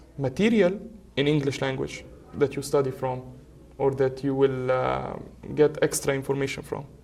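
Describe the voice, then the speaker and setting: A somewhat breathy voice with an Arabic accent. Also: man. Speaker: medical student. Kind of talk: casual chat.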